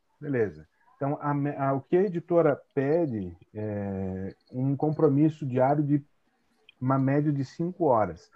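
At a fairly slow pace, a man speaks with a fairly high pitch and lively intonation. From Brazil, São Paulo interior (Tatuí). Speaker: translator and teacher. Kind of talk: casual interview. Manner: halting, many fillers.

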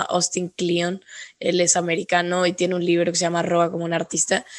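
The speaker is a woman. Her pitch is medium. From northern Mexico. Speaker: podcast host. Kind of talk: interview.

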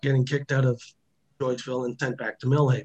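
Somewhat breathy, a man with a Canadian accent speaks at a medium pitch and a fairly quick pace. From central Ontario, Canada. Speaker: former prisoner. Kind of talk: interview testimony.

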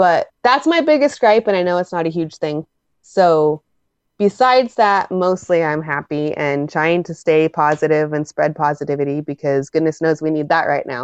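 Fairly low pitch from a woman, with ordinary variation in pitch. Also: moderate pace, dry, close sound with no echo. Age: 30s. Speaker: gamer and streamer. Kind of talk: casual interview. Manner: loud.

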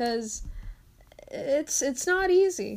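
The woman's speech comes out at a very slow pace. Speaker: podcast host. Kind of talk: casual solo monologue. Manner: halting, stuttering; frequent laughter.

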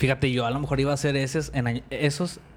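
Speaking at a very fast pace, a man with a Mexican accent talks in a medium pitch. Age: 20s. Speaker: podcast co-host. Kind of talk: casual chat.

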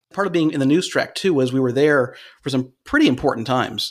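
A man with an American accent has a normal speaking voice and a fairly quick pace, with ordinary pitch variation. The recording is very clean, with a silent background. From Cleveland, Ohio. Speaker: radio host. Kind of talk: casual chat.

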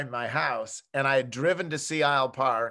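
With an American accent, a man speaks at a moderate pace in a bright, sharp tone with ordinary pitch variation against a quiet background. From Buffalo, New York. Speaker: sports columnist and radio host. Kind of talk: casual interview.

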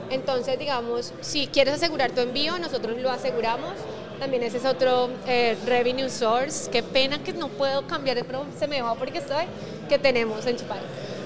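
Crowd noise fills the background and room echo is audible. A woman speaks at a high pitch and a moderate pace. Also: ordinary pitch variation. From Colombia. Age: 30s. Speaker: startup CEO. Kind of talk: casual interview. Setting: tech conference.

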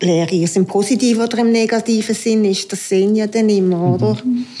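A woman's medium-pitched voice, dark and mellow in tone, at a moderate pace with ordinary pitch variation. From Aargau, Switzerland. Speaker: homemaker. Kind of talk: casual interview.

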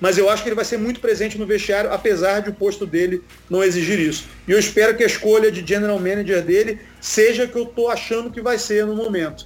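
A man speaks at a very fast pace in a high voice, his intonation fairly even. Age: 30s. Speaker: sports TV commentator. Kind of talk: casual chat.

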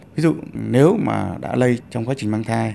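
A man talks at a moderate pace in a fairly low pitch with very wide pitch swings. Noticeable background noise runs under his speech. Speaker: infectious disease doctor. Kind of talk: interview.

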